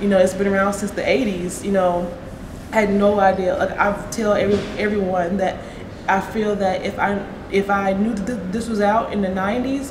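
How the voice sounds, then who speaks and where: A woman with an American accent talks at a fairly quick pace and medium pitch, her intonation fairly even, with audible room echo and noticeable background noise. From Oklahoma. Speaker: person who stutters, college student. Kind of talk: interview. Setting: conference venue. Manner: stuttering, repeats words.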